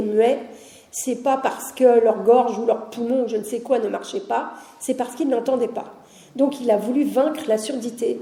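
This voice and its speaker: There is audible room echo and noticeable background noise. A woman speaks at a high pitch and moderate pace with ordinary pitch variation. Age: 60s. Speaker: heritage officer at a deaf school, lecturer. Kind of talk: public lecture. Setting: conference hall with audience. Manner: conversational, with frequent hesitations.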